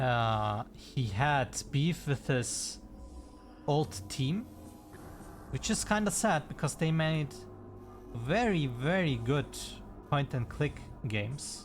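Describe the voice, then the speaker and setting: A man with a non-native accent speaks very slowly at medium pitch, with lively intonation and long, frequent pauses. Music plays in the background. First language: not English. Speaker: game developer streamer. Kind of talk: live stream chat. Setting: live stream. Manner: casual, halting.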